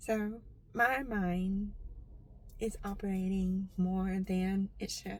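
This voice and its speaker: This woman's voice is somewhat breathy and flat in intonation. She speaks very slowly, with long, frequent pauses. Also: medium pitch for a woman. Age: 40s. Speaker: deaf vlogger. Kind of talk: personal vlog monologue.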